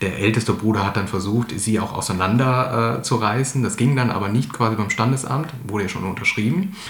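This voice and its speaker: With audible room echo and noticeable background noise, a man speaks at a fairly quick pace with hardly any pauses, at medium pitch and ordinary pitch variation. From Germany, Ratingen (North Rhine-Westphalia). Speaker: author. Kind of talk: interview. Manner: halting, many fillers.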